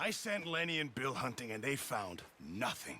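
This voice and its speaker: Using a raspy put-on character voice, a man speaks at a moderate pace and medium pitch with very wide pitch swings. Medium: video game.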